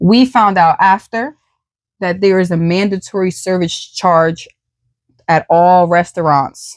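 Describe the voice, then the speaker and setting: A woman talks fairly slowly, her medium-pitched voice rising and falling in an ordinary way. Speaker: podcast host. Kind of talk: casual chat. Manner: soft-spoken.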